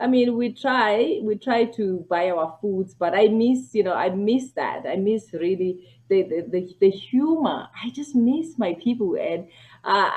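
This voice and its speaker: Her tone is dark and mellow. The woman speaks at a fairly slow pace with lively intonation. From South Africa. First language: a South African language. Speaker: family physician. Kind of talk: casual interview chat.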